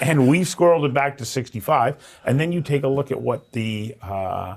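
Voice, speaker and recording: This is a man with an unremarkable speaking voice and fairly high pitch. He speaks at a moderate pace with ordinary pitch variation. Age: 60s. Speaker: interviewer. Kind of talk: interview.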